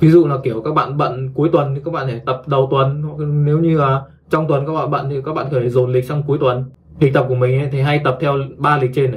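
Audible room echo surrounds a man's voice. He talks at a fast pace with fairly even intonation. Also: medium pitch for a man.

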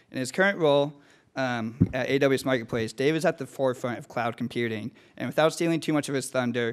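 A man's fairly quick, fairly evenly intoned speech over a quiet background. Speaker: business school student. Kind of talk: formal introduction. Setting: stage with audience. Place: hall. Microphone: podium.

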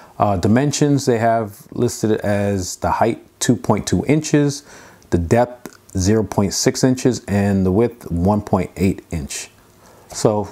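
An ordinary speaking voice from a man, fairly low in pitch, with ordinary pitch variation and a fairly slow pace. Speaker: product reviewer. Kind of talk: unboxing tutorial. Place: home room. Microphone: lapel.

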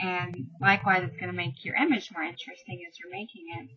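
A fast-paced woman's voice, fairly low, with a slightly husky edge and fairly even intonation.

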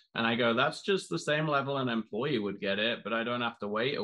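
Man at a fairly quick pace, ordinary pitch variation, quiet background. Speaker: podcast host. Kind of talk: interview. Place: home room.

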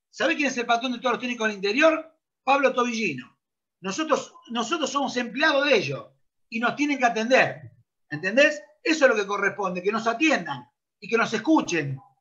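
A man speaks in a raised, projected voice with an extremely high pitch and a bright, sharp tone. His intonation is lively, his pace fairly quick, and the background quiet. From Argentina. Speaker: football coach. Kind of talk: interview; interview answer. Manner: animated. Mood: indignant complaint. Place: home room. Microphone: video call.

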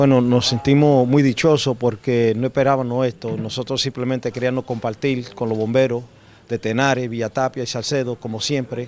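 At a moderate pace, a man of medium pitch speaks in a monotone, flat intonation against light background noise. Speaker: foundation representative; guest. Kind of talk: ceremony speech. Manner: halting. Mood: grateful, slightly nervous. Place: hall. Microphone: handheld.

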